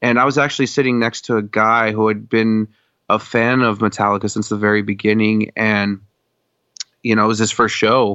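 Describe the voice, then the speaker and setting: A man with a fairly low pitch and an American accent talks at a fairly quick pace. His intonation is flat and monotone, and his loudness stays very even. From Colorado. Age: 20s. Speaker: metal fan, podcast listener. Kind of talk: casual chat. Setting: video call.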